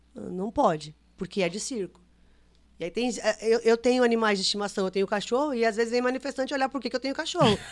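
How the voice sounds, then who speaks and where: A woman speaks in a fairly high voice. She talks very fast with ordinary pitch variation. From Brazil, São Paulo, grew up touring. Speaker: circus director. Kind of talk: podcast interview.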